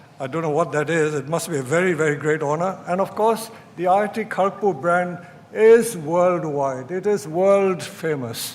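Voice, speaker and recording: This man speaks in a high voice with ordinary pitch variation, and the recording has noticeable background noise and audible room echo. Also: moderate pace. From India. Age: 80s+. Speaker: chief guest and alumnus at a convocation. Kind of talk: convocation speech. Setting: auditorium with audience.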